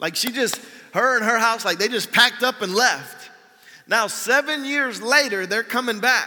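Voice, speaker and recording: A man's raised, projected voice at an extremely high pitch, moderate in pace with ordinary pitch variation, over noticeable background noise. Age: 40s. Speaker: pastor. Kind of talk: sermon. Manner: casual and conversational, with fillers.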